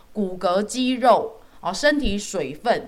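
The voice swings very widely in pitch with an animated tone, over noticeable background noise. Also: woman. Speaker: dietitian podcast host. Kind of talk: casual chat.

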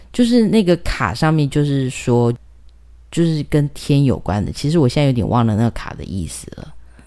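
With a dark, mellow tone, a woman speaks at a moderate pace in a very deep, low pitch that swings very widely. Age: middle-aged. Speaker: documentary filmmaker and author. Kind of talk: casual chat.

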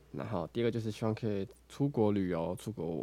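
This man has a dark, mellow tone and a fairly low pitch. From Taiwan, Taoyuan. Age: 20s. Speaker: podcaster and barista. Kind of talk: casual solo podcast talk. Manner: halting, many fillers and self-corrections.

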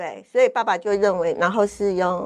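An unremarkable speaking voice from a woman, medium in pitch, at a fairly quick pace with ordinary pitch variation. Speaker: cancer survivor and fitness instructor. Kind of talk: interview testimony.

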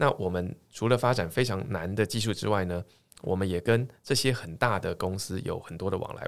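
This man's pitch varies in an ordinary way, in a very clean recording with a silent background. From Taiwan, Tainan. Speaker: tech startup chairman, former professor. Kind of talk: interview.

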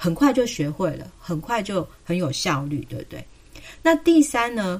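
A woman speaks in a Taiwanese accent at a moderate pace. Her medium pitch moves in very wide swings. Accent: Taiwanese Mandarin. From southern Taiwan (Kaohsiung). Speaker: pediatrician. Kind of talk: casual chat.

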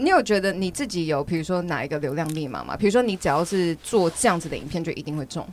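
Her voice fairly low, a woman rushes along very fast with lively intonation and hardly any pauses. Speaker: podcast host and language teacher. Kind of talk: casual chat interview. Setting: studio with headphones. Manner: laughs often.

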